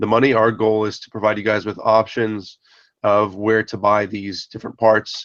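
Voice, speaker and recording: With an American accent, a man talks fairly quickly in a fairly low voice, the sound dry and close with no echo against a quiet background. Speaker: 3D printer project maker, video host. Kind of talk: casual live video update. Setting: live video hangout.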